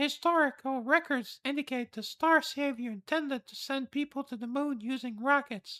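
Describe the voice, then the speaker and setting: Performed in a put-on character voice, the speech runs at a moderate pace in a high pitch with hardly any pauses, on a very clean recording with a silent background. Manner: flat, robotic but not full robot voice.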